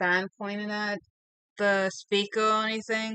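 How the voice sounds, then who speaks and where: A woman mumbles at a moderate pace and medium pitch, her tone bright and sharp and her intonation monotone and flat. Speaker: streamer and digital artist. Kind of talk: casual chat while drawing. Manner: soft-spoken, quiet; mumbling. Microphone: voice coming through quiet.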